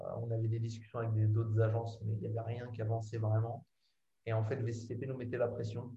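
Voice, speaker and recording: A man's dark, mellow, somewhat breathy voice in a monotone, flat delivery. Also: medium pitch for a man. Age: 30s. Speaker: advertising professional. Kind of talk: casual interview chat.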